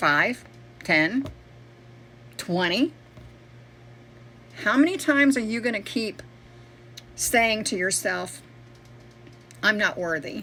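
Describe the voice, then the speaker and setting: A woman's fairly high, bright, sharp voice with vocal fry and very wide pitch swings, at a very slow pace with long, frequent pauses. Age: 60s. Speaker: network marketing promoter. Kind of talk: motivational video pitch. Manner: occasional word-finding pauses and stammers; animated, conversational.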